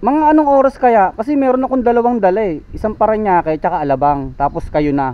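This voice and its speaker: A man's high-pitched voice at a very fast pace, with very wide pitch swings and hardly any pauses. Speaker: delivery rider motovlogger. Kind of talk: casual vlog narration.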